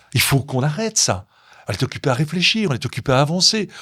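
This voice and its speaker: In a very clean recording with a silent background and a dry, close sound with no echo, a man speaks very fast and animatedly at a fairly high pitch with very wide pitch swings. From Belgium, Brussels area. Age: 60s. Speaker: chocolatier and entrepreneur. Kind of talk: interview.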